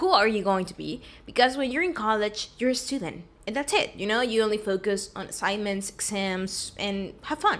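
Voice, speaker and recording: With a fairly high pitch, a woman delivers her words at a moderate pace in a normal speaking voice. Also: ordinary pitch variation. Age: 20s. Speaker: vlogger and recent college graduate. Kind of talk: casual vlog talk to camera. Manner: casual, conversational.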